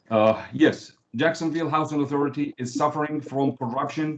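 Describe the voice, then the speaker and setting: A man's fairly high voice with a non-native accent, moderate pace and ordinary pitch variation. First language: not English. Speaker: member of the public. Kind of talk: public comment.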